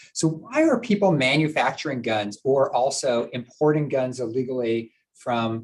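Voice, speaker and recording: A man talks at a medium pitch. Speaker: prosecutor giving a presentation. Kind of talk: presentation to a board meeting. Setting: live-streamed public meeting. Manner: fast.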